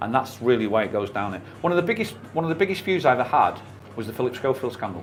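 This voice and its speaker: A man at medium pitch, talking at a very fast pace with very wide pitch swings over noticeable background noise. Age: 50s. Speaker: YouTuber. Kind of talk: radio interview. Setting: radio studio.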